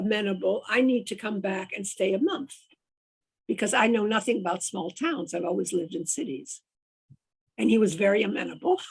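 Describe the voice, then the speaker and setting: A woman talks at a moderate pace with vocal fry and a medium pitch. Her intonation is lively. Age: 80s+. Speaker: mystery novelist. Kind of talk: casual chat. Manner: halting.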